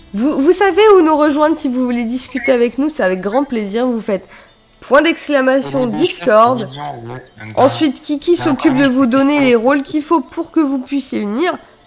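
Speaking at a moderate pace with a high pitch and lively intonation, a woman is heard over noticeable background noise. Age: 20s. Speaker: video game streamer. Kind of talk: live stream chat. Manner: animated. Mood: relaxed, amused. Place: home room.

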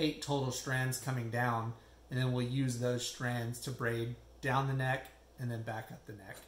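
This man talks at a moderate pace in a somewhat breathy, monotone voice with flat intonation, and audible room echo surrounds him. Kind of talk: tutorial. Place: home room. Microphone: phone near.

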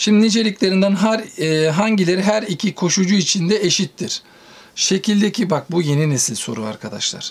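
With noticeable background noise, a man speaks at a moderate pace in a high-pitched voice. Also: ordinary pitch variation. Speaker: physics teacher. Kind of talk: tutorial.

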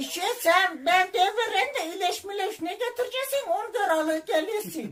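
A man puts on a character voice pitched extremely high, moving at a moderate pace. He barely pauses at all. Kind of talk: prank phone call.

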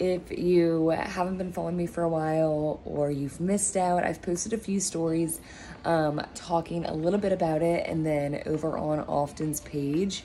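At a moderate pace with hardly any pauses, a woman speaks in a normal speaking voice, fairly low in pitch with fairly even intonation, over light background noise. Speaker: vlogger announcing a business. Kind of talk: casual vlog chat. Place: home room. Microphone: phone near.

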